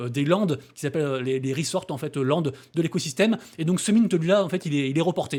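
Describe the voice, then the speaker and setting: Against a very clean recording with a silent background, a man mumbles at a very fast pace. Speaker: crypto and NFT YouTuber. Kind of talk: daily news roundup video. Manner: mumbled, little articulation.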